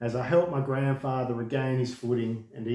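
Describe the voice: The voice is plain reading aloud, with fairly even intonation.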